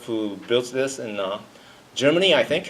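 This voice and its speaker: A man with a Japanese accent speaks at a moderate pace. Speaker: freelance engineer, conference speaker. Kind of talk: conference talk. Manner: halting.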